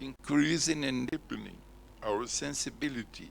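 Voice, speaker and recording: A man talks in a Portuguese accent with vocal fry. His pitch swings very widely. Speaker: conference speaker. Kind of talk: lecture.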